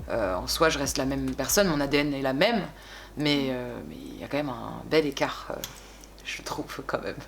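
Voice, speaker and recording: A woman at a moderate pace, with big swings in loudness, amid noticeable background noise and audible room echo. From France, Bordeaux. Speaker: singer. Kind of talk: interview. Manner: hesitant, many fillers.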